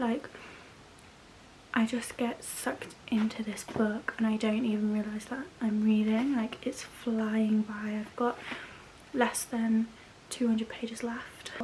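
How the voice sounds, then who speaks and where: A woman talks in an English accent with monotone, flat intonation. Noticeable background noise runs underneath. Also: fairly high pitch for a woman. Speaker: book vlogger. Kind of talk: casual vlog. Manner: soft-spoken.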